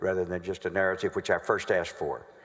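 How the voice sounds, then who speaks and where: A man is speaking. He talks with a Southern US accent. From North Carolina. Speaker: prosecutor. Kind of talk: courtroom examination. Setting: legislative chamber courtroom.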